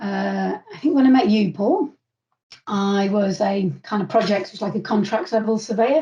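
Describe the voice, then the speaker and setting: A woman's dark, mellow tone at a medium pitch, with vocal fry. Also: ordinary pitch variation, moderate pace. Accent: northern English. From northern England. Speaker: construction commercial manager. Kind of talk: interview. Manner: halting.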